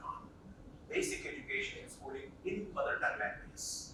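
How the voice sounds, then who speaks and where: Someone speaks in an Indian accent, with audible room echo in the recording. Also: man. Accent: Indian English, Telugu. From India, Telugu-speaking region. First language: Telugu. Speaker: professor. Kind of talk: lecture.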